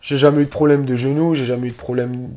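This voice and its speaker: Over a very clean recording with a silent background, a man with a dark, mellow tone speaks with fairly even intonation. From Moselle, northeastern France. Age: 20s. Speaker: amateur footballer. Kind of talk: casual interview.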